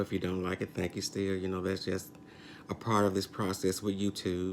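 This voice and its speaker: The man's pitch is very deep and low. His intonation is monotone and flat. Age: 60s. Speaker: YouTube commentator. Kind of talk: casual vlog commentary. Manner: hesitant, many fillers.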